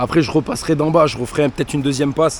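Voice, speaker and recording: A man talks at a very fast pace with a fairly high pitch and fairly even intonation. Noticeable background noise is heard. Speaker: YouTuber, gardener. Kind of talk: casual vlog. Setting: outdoors in vegetable garden.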